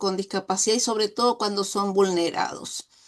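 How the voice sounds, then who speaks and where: A woman with a Uruguayan accent speaks at a fairly high pitch and a fairly slow pace against a quiet background. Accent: Uruguayan Rioplatense Spanish. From Uruguay, Dolores (Soriano). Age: 60s. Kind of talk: interview.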